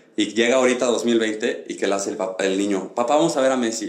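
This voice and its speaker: Speaking with a Mexican accent, a man moves at a fairly quick pace with ordinary pitch variation. The room echo is audible. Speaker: podcast host. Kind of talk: casual chat.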